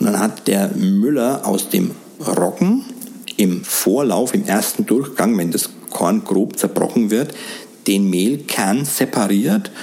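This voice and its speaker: Very slow speech from a man at medium pitch, with very wide pitch swings and very even loudness, amid noticeable background noise. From Middle Franconia, Germany. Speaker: baker. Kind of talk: interview. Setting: in a bakery.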